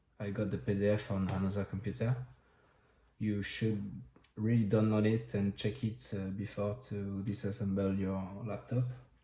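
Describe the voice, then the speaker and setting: A man's somewhat breathy, dark, mellow voice in a French accent, fairly low in pitch with ordinary pitch variation, at a moderate pace. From France. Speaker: tech hobbyist. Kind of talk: tutorial. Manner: halting.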